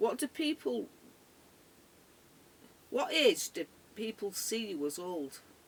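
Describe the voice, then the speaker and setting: In an English accent, a woman with vocal fry and a medium pitch speaks at a very slow pace, with very wide pitch swings and long, frequent pauses. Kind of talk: casual talk to camera.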